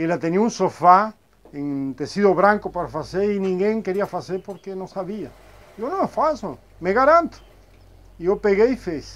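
Lively intonation and a high pitch mark this man's speech, which moves at a fairly slow pace. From Argentina, Buenos Aires. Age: 50s. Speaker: upholsterer. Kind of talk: interview. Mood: proud, calm. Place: workshop.

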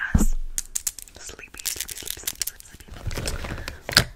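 A woman is whispering. She keeps a moderate pace. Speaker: roleplay content creator. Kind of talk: roleplay chat to viewer. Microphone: phone near.

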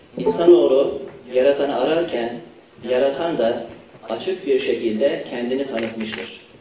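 Fairly slow speech with ordinary pitch variation, light background noise and audible room echo. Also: man, fairly high pitch for a man. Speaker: university rector. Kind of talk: formal opening speech. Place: hall. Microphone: podium.

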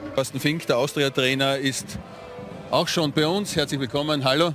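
With music in the background, a man speaks with fairly even intonation. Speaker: TV sports presenter. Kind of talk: post-match TV sports interview.

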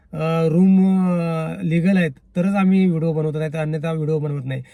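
Fairly even intonation and a dark, mellow tone in a man's fairly high voice. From Konkan, Ratnagiri district (Sangameshwar). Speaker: YouTube vlogger. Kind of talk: casual vlog monologue. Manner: halting, with repetitions and restarts.

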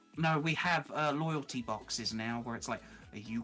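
Music plays in the background as a man speaks with a British accent. His pace is moderate and his pitch variation ordinary. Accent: British, mistaken by some for Australian. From southern England, near London. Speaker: fellow streamer and miniature painter. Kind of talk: casual chat.

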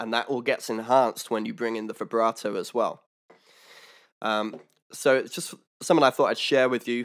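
Fairly even intonation runs through speech at a moderate pace, broken by long, frequent pauses. The background is quiet. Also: man. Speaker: harmonica teacher. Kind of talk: tutorial. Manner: casual, explanatory. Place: home room. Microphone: studio mic.

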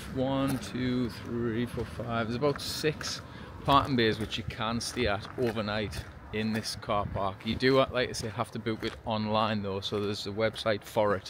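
The sound is dry with no echo, though background noise is noticeable. A man speaks at a moderate pace with fairly even intonation. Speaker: travel vlogger. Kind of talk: casual vlog chat. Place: street. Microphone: phone near.

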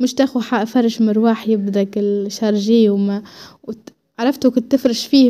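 A woman with a Tunisian accent, high-pitched and dark, mellow in tone, at a moderate pace with fairly even intonation. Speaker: lifestyle vlogger. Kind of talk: casual home vlog narration. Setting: at home.

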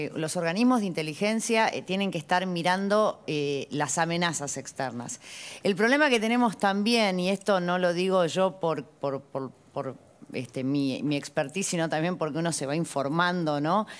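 A woman with an ordinary speaking voice, fairly low in pitch, lively intonation and a moderate pace. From Argentina. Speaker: lawyer, former tax agency official; lawyer. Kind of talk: TV panel discussion. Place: studio. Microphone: lapel.

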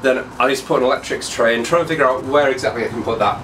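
The voice has ordinary pitch variation. Music plays in the background. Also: man. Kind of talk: casual vlog chat. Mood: pleased, enthusiastic. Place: workshop.

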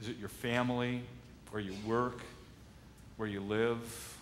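Light background noise accompanies a man with an American accent and ordinary pitch variation. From Michigan, US Midwest. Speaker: pastor. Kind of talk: sermon. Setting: church. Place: church.

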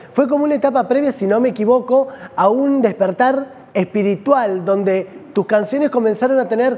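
A man with a Rioplatense accent speaks at an extremely high pitch. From Argentina. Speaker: TV host. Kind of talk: TV interview. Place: studio. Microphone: lapel.

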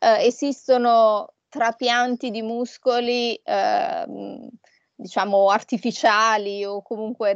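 Over a quiet background, a woman talks at a fairly high pitch with ordinary pitch variation, the sound dry and close with no echo. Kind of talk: interview. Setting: video call.

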